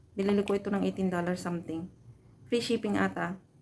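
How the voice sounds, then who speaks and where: Medium pitch and fairly even intonation in a woman's voice. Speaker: vlogger, overseas Filipino worker. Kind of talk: product review vlog. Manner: soft-spoken; casual.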